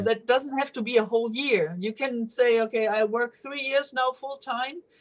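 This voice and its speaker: Her voice is high in pitch with ordinary pitch variation. The woman speaks at a moderate pace in a German accent. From Germany. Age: 50s. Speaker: police officer. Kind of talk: interview answer. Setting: video call.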